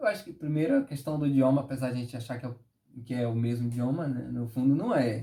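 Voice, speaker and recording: A man speaks at a very fast pace in a somewhat breathy voice with a dark, mellow tone. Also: medium pitch for a man, ordinary pitch variation. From Northeast Brazil. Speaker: dancer and tap and forró teacher. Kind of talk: interview answer. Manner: upbeat, good-humoured.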